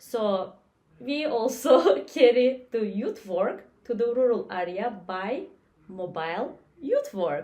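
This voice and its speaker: With lively intonation, a woman speaks at a fairly high pitch and a very slow pace. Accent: Turkish. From Turkey. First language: Turkish. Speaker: youth worker. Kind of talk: casual discussion.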